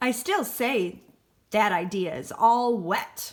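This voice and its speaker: In a put-on character voice, the speaker mumbles at a very slow pace. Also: woman, fairly high pitch for a woman. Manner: mumbling, grumpy.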